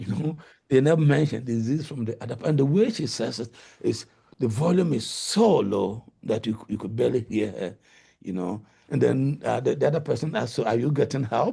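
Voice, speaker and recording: A man with a medium pitch and vocal fry talks at a fairly quick pace. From Ghana. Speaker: linguistics professor. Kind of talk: lecture.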